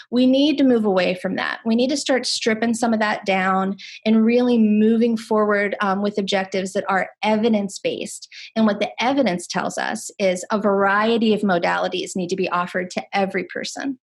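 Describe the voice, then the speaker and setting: In a somewhat breathy, fairly high voice, a woman talks at a fairly quick pace with hardly any pauses against a quiet background. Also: ordinary pitch variation. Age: 40s. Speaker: nurse and harm reduction speaker. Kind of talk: webinar Q&A answer. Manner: halting, many fillers.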